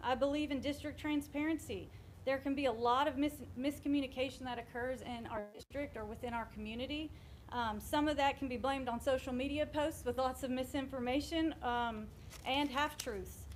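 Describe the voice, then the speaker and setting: A woman speaks loudly in a high pitch. Her pace is fairly quick and her intonation fairly even. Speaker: school board candidate. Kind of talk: campaign speech.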